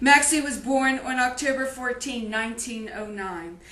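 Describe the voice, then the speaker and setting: A woman's high-pitched voice, with ordinary pitch variation, carries audible room echo and noticeable background noise. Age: 60s. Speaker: grieving daughter and elder-care advocate. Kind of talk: personal testimony and diary reading. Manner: emotional, impromptu.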